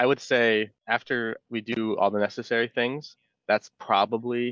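A man's plain, everyday voice at a medium pitch with fairly even intonation, dry and close with no echo, over a quiet background. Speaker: environmental engineer. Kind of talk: interview. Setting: remote call.

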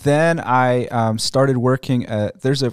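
A man speaks with an American accent and ordinary pitch variation. The recording is very clean, with a silent background. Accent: American-sounding English. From Egypt. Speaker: missionary. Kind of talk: radio interview. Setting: studio.

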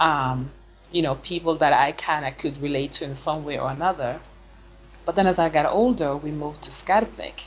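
A woman with a Swedish accent speaks at a moderate pace in a very deep, low pitch. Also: ordinary pitch variation. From Sweden, Stockholm, Gambian parents. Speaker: PhD researcher. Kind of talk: interview.

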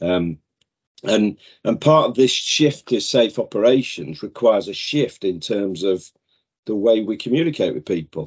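A man with a British accent speaks at a moderate pace. His fairly low voice makes very wide pitch swings. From northern England. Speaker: safety sales director. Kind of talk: casual chat.

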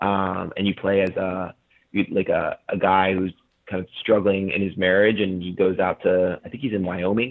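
With monotone, flat intonation, a man talks at a moderate pace in a very deep, low pitch. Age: 30s. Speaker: video game media founder. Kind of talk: interview. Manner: halting.

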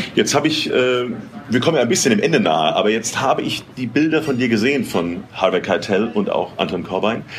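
Over noticeable background noise, a man talks at a fairly quick pace. His medium pitch swings very widely. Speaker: podcast host. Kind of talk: interview. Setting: restaurant. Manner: animated.

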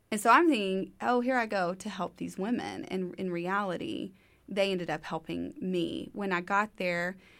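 A woman with an ordinary speaking voice speaks with an American accent at medium pitch, at a moderate pace, with lively intonation, in a very clean recording with a silent background. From East Texas. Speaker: ministry founder. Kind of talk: casual interview. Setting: studio.

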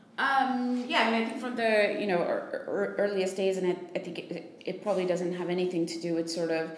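A woman at medium pitch talks fairly quickly with hardly any pauses and ordinary pitch variation, over noticeable background noise. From United States. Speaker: investor, podcast co-host. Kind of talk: casual improvised podcast chat.

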